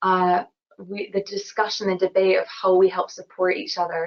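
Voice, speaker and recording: With a Scottish accent, a woman speaks at a fairly quick pace in a medium pitch and a monotone, flat intonation. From Scotland, Glasgow. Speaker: engineer. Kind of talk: webinar interview.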